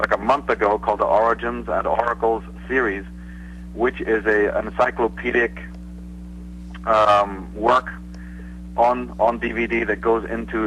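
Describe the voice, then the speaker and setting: A man with a Northern Irish accent speaks at a moderate pace in a fairly low voice, his pitch swinging very widely, with long, frequent pauses and noticeable background noise. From Northern Ireland, Belfast. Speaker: author and researcher. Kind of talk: interview.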